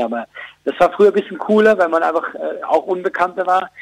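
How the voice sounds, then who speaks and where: At a fairly quick pace, a man is talking. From Switzerland. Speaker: comedian. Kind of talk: phone interview.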